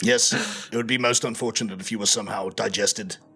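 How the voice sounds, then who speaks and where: Putting on a character voice, a raspy man speaks at a medium pitch and very fast pace with lively intonation over music in the background. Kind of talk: formal, stiff. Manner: deadpan.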